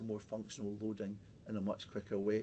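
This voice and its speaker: A man's fairly low, dark and mellow voice with a Scottish accent. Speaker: pelvic health physiotherapist. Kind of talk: webinar presentation. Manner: fast; halting, many fillers and repetitions.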